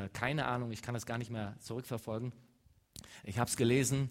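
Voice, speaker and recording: This man's voice sits at a medium pitch and stays flat and monotone. He talks at a fairly quick pace. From western Germany, Leverkusen. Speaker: mission organization speaker. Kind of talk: church talk.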